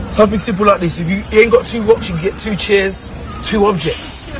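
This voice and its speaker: A man speaks at a high pitch. Noticeable background noise runs underneath. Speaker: fitness trainer. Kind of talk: tutorial. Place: street.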